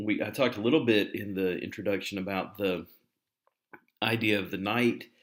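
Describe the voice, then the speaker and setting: A man talks at a moderate pace, his intonation fairly even, with audible room echo around his voice. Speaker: university instructor. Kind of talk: lecture. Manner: hesitant, many fillers.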